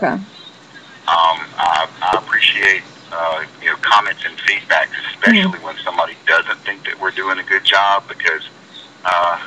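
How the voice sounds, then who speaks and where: Noticeable background noise runs beneath speech at a moderate pace. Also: man. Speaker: poison control center director.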